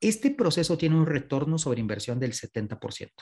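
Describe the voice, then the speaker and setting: A man at a moderate pace, fairly high-pitched for a man, with very wide pitch swings. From Mexico. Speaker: customer experience consultant. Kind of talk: panel discussion. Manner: animated.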